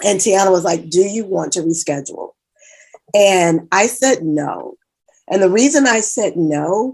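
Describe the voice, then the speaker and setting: A woman's medium-pitched voice with an American accent and lively intonation. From Kentucky, US South. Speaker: empowerment speaker and life coach. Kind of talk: motivational talk.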